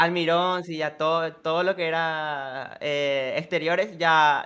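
The voice is bright and sharp, with a monotone, flat intonation. It moves at a very slow pace. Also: man. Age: 20s. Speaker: football content creator. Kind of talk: casual chat. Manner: halting. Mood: relaxed, cheerful. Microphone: studio mic.

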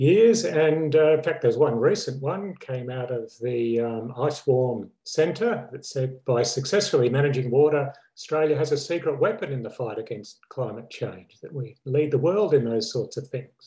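In a room with audible echo but a quiet background, a man speaks with a dark, mellow tone at a moderate pace. His voice is somewhat breathy, and its loudness swings a lot. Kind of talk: lecture. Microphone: webcam.

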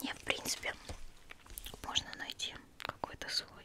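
A woman whispers at a fairly slow pace. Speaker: ASMR beauty blogger. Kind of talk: ASMR cosmetics review, casual chat to camera. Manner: whispered, intimate. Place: home room. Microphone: studio mic.

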